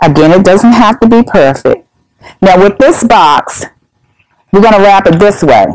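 A woman at medium pitch and moderate pace, lively intonation, long, frequent pauses, and a quiet background. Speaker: senior center coordinator. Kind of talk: tutorial. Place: meeting room.

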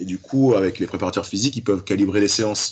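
The man speaks with a fairly low pitch. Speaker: guest. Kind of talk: interview answer. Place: office. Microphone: video call.

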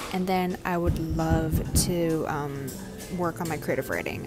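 A woman's voice comes through while clear music sounds behind her. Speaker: vlogger. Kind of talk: casual vlog chat. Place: cafe. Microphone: earbuds.

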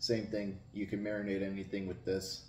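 A man speaks at a moderate pace with a fairly low pitch. Audible room echo and light background noise are present. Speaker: food reviewer. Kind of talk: casual vlog chat. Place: home room. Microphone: camera far.

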